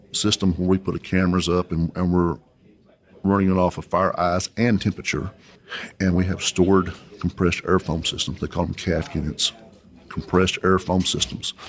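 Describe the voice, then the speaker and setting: A man with a West Texas accent talks at a moderate pace in a very deep, low pitch. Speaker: oilfield inventor and company president. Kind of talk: interview. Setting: conference venue.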